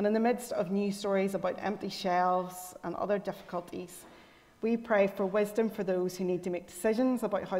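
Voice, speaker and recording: Speaking at a moderate pace, a woman keeps a medium pitch in a monotone, flat intonation. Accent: Northern Irish. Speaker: lay worship leader. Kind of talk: scripture reading and prayer. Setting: church.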